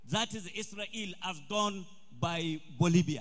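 A man in a northern Nigerian accent, bright and sharp in tone. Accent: Nigerian Hausa English. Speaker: event organizer. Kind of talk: formal speech. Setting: stage with audience, PA system. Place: hall. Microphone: podium.

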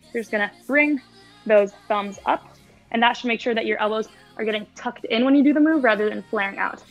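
A woman speaks at a fairly quick pace over faint music in the background. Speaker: fitness instructor. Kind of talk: tutorial. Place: garage.

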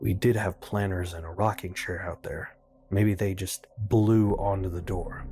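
Over music in the background, a man with a fairly low pitch speaks at a fairly slow pace in a monotone, flat intonation. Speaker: YouTube reviewer reading horror stories. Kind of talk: horror story reading.

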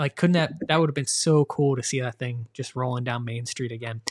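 This is a plain, everyday voice with fairly even intonation. The pace is fairly quick. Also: man. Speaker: podcast host. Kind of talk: casual chat.

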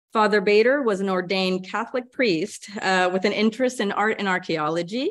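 A woman's moderately paced voice with ordinary pitch variation. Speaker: archivist. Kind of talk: lecture introduction. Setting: stage with audience. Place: hall.

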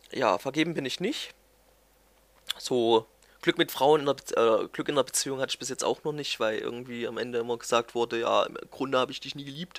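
Loudness swings widely in this fairly quick delivery, which has ordinary pitch variation and dry, close sound with no echo. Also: man, medium pitch for a man. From Germany, Thuringia (near Erfurt). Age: 20s. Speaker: gaming YouTuber. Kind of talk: casual vlog monologue. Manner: hesitant, many fillers.

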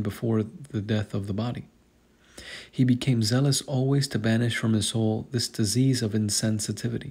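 A man's somewhat breathy, medium-pitched voice at a moderate pace, with fairly even intonation in a very clean recording against a silent background. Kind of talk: hagiography reading.

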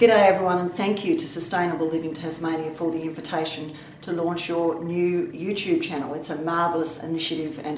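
With light background noise and audible room echo, a woman speaks at a moderate pace in a very deep, low pitch with fairly even intonation. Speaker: government minister. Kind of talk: video address. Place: office. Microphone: webcam.

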